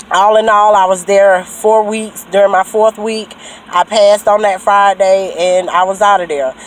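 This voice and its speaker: A rural Southern US accent at a moderate pace, with monotone, flat intonation and noticeable background noise. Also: woman, medium pitch for a woman. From US South. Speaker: trucking school graduate vlogger. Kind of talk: casual vlog testimony. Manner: casual, hesitant with fillers.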